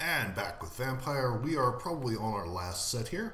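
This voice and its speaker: Heard over light background noise and audible room echo, a man talks at a moderate pace. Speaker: game player narrator. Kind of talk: casual gameplay commentary.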